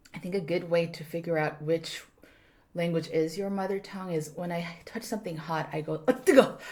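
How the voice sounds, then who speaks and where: This woman talks at a fairly quick pace with a Korean accent, using a fairly low pitch, ordinary pitch variation and a somewhat breathy quality. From South Korea, Busan. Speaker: actor, writer and stand-up comedian. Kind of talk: casual podcast interview. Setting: studio room.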